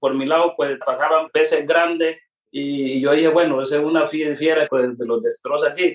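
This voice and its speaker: A man's fairly even intonation and fairly high pitch come at a moderate tempo. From Colombia, Pacific coast of Cauca (Guapi). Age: 50s. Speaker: coffee farmer. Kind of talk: interview testimony. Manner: halting, with repetitions.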